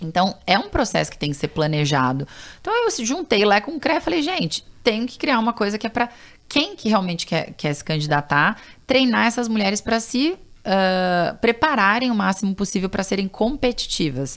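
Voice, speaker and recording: A woman's fairly high voice with vocal fry and very wide pitch swings. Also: moderate pace. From Brazil, São Paulo. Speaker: political candidate and nonprofit founder. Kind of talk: interview.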